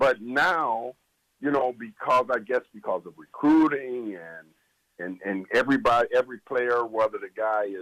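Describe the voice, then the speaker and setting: A man speaks in a normal speaking voice at a medium pitch with ordinary pitch variation. The sound is dry and close, with no echo. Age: 60s. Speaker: former college basketball assistant coach. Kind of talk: sports talk radio interview.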